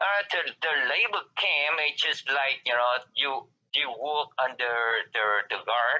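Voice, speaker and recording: At a very slow pace, a man talks with lively intonation and very even loudness. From southern Vietnam, Saigon. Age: 50s. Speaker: refugee interviewee. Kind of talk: interview testimony. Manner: halting, many fillers.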